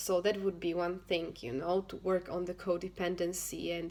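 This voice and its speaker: Moderate pace, monotone, flat intonation and a non-native accent. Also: woman. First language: not English. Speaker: self-help vlogger, single mother. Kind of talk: casual talk to camera, advice. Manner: halting, with frequent fillers and restarts.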